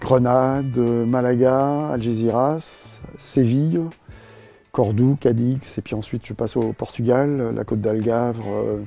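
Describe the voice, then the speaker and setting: Music plays in the background as a man talks at a very slow pace, medium in pitch with fairly even intonation. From Brittany, France. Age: 60s. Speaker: retired scooter traveler. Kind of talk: interview. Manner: hesitant, many fillers.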